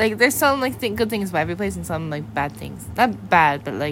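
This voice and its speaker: Amid audible room echo, a woman with an American accent talks at a very fast pace with very wide pitch swings. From US Pacific Northwest, Seattle area. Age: 20s. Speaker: podcast guest. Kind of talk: casual chat. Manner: halting.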